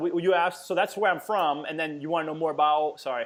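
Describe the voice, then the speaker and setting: A man with an American accent talks at a fairly quick pace, his high pitch held in fairly even intonation. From Massachusetts, New Bedford (south of Boston). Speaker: fitness coach, entrepreneur. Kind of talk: casual interview.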